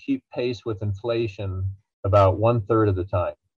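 This man's voice comes across as somewhat breathy. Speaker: financial researcher and author. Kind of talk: interview, explanatory.

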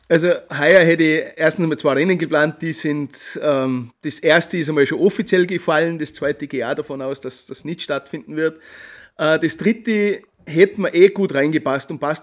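A man speaks with a strong Tyrolean accent at a moderate pace. His pitch is fairly high, with ordinary pitch variation. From Austria, Tyrol. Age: 40s. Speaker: journalist and trail-running blogger. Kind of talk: interview. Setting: remote call.

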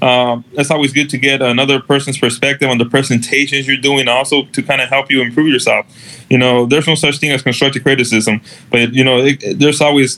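A man talks very fast at a medium pitch, with a bright, sharp tone, very even loudness and fairly even intonation. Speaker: code compliance manager. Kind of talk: casual interview. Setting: live online video stream.

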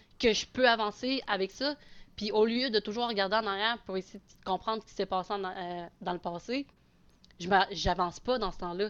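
Against a quiet background, a woman uses an ordinary speaking voice at a moderate pace. Her medium pitch varies in an ordinary way, with big swings in loudness. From Quebec, Abitibi. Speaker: adoptee sharing her story. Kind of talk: casual chat.

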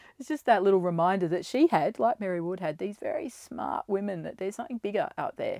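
A woman with an Australian accent, very fast and with hardly any pauses, medium in pitch, her tone dark and mellow, her intonation lively, the sound dry and close with no echo. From Australia, Ballarat (Victoria). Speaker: school leader and teacher. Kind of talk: casual interview.

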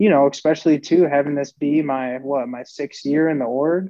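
Speaking in an American accent, a man has a fairly high pitch and fairly even intonation. It is a normal speaking voice. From northern US. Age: 20s. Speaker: professional baseball player. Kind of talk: casual interview.

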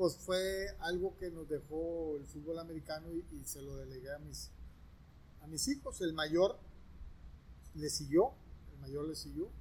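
This man talks at a fairly slow pace. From northern Mexico, Monterrey. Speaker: former college football quarterback. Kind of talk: interview. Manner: hesitant, many fillers and repetitions.

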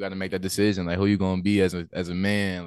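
Speech in a Southern US accent rushes by very fast. The intonation is monotone and flat. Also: man. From Louisiana. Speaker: rapper, collective member. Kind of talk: casual interview. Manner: stammering, repeats words.

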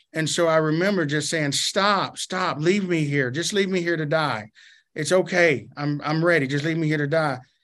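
Speaking in a Southern US accent at a moderate pace, the voice comes over a quiet background. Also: man, fairly high pitch for a man, ordinary pitch variation. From Arkansas. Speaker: pastor. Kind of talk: interview.

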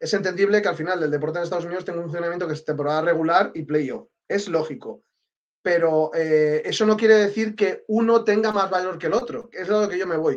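In a Castilian accent, a man speaks at a very fast pace. His pitch is high, with ordinary pitch variation. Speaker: sports journalist. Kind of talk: casual chat.

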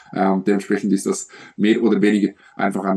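A man's fairly low voice has a dark, mellow tone. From Switzerland. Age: 20s. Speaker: bodybuilding coach and athlete. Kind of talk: podcast interview.

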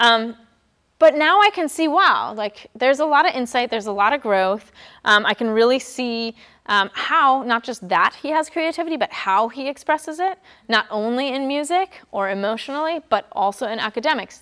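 Bright and sharp in tone, a high-pitched woman speaks at a fairly quick pace with very wide pitch swings. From Germany. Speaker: college admissions counselor. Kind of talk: presentation to a live audience. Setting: public library, in person with audience.

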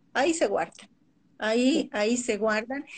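A woman at a moderate pace, high in pitch with lively intonation, against a quiet background. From Colombia. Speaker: naturopath and Ayurveda coach. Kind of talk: interview on a live stream.

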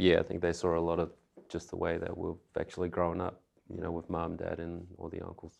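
A man's very deep, low voice, monotone and flat, at a fairly quick pace broken by long, frequent pauses. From Australia. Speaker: actor. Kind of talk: casual chat.

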